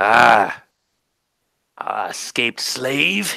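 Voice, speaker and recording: A man's put-on character voice, raspy and guttural at a medium pitch. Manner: muttering, menacing.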